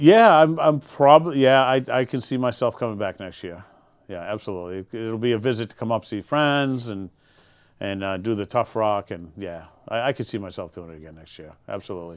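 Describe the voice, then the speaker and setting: On a very clean recording with a silent background, a man with an American accent and medium pitch talks at a fairly quick pace with lively intonation and big swings in loudness, an unremarkable speaking voice. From Massachusetts, Winthrop (Boston area). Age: 60s. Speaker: military veteran, podcast guest. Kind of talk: casual interview chat.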